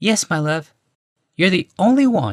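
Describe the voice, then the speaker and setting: A man puts on a character voice, pitched high for a man, with very wide pitch swings at a moderate pace. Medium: read story.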